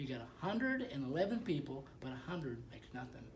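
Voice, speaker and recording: Vocal fry runs through speech delivered at a moderate pace amid audible room echo. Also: man. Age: 70s. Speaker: network marketing distributor. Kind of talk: casual chat. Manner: halting.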